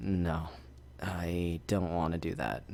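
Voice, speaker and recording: A man talks in a put-on character voice that is very deep and rumbling, with clear background noise behind him. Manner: reluctant, grumbling.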